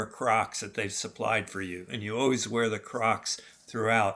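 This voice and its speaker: In a very clean recording with a silent background, the speaker uses a bright, sharp tone, fairly even intonation and a moderate pace. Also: man. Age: 60s. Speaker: outdoor travel vlogger. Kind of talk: live video on the trail; narrated travel vlog. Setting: outdoors on a mountain. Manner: casual with fillers.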